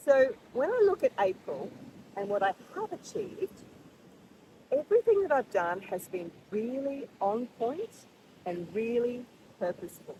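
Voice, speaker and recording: With an Australian accent, a high-pitched woman speaks at a fairly slow pace, her pitch swinging very widely, with long, frequent pauses. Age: 60s. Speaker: vlogger. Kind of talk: monthly reflection vlog. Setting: outdoors at the beach rocks. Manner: casual, with fillers.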